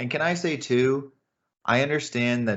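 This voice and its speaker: A man speaks with an American accent. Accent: normal American. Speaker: podcast co-host. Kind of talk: casual chat.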